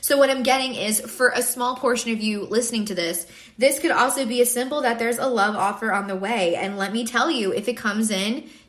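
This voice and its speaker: Noticeable background noise behind a woman's fairly high-pitched, fairly quick speech with ordinary pitch variation. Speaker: tarot reader. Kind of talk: collective tarot reading. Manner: fast.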